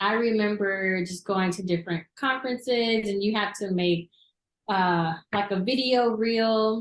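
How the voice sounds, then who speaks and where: Speaking with an American accent, a woman uses a medium pitch and fairly even intonation. Her pace is fairly slow. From US South, Crossett, southern Arkansas. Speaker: TV news reporter. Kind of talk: interview. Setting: studio.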